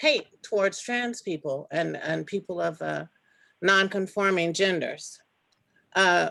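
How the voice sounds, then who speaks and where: Long, frequent pauses break up this woman's speech. She talks at a fairly slow pace in an American accent. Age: 60s. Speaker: activist and veteran. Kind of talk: webinar talk. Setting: video webinar. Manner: halting with fillers.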